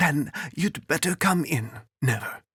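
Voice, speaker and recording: Putting on a character voice, a man talks at a fairly slow pace in a fairly high pitch. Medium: read story. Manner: blunt, brusque.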